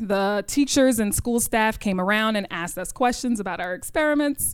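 With a New York accent, a woman speaks at a moderate pace amid audible room echo. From New York City, Queens. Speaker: high school chemistry teacher. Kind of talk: live storytelling. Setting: stage with audience.

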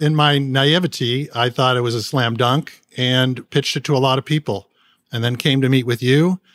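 Intonation holds fairly even throughout. Delivery comes at a moderate speed. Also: man, medium pitch for a man. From Southern California (San Gabriel). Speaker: podcast host and charity founder. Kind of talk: interview.

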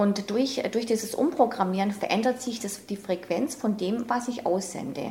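Noticeable background noise runs behind a woman's fairly high voice. She speaks with hardly any pauses. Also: ordinary pitch variation, moderate pace. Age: 50s. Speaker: self-help coach, former programmer. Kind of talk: interview.

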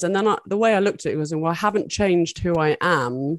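Fairly low-voiced woman in a British accent, with lively intonation and a moderate pace against a quiet background. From UK. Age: 40s. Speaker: adult film performer and director. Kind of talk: interview.

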